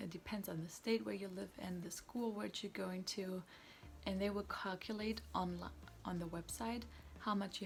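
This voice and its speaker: A woman speaks with a German accent at a moderate pace. Her voice is somewhat breathy, and her intonation is fairly even. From Germany. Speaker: student vlogger. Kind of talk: tutorial. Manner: casual.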